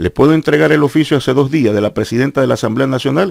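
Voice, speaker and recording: Very fast speech with vocal fry, ordinary pitch variation and a dry, close sound with no echo. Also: man. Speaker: teachers' union leader and former politician. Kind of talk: heated debate. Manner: insistent, halting with repetitions.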